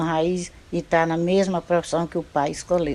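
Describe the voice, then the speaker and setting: A woman with a fairly low voice speaks at a fairly slow pace in a flat monotone. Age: 70s. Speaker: retired fisherwoman. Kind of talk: documentary interview testimony.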